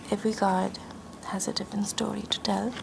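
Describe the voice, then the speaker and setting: A woman speaks in a calm tone at a moderate pace, with noticeable background noise. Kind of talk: ASMR roleplay, tarot card reading. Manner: soft-spoken, calm.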